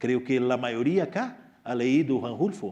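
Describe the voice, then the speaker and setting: A man's dark, mellow tone in a Portuguese accent, at a very slow pace. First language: Portuguese (speaking Spanish). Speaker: writer. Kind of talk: Q&A talk to students. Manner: halting.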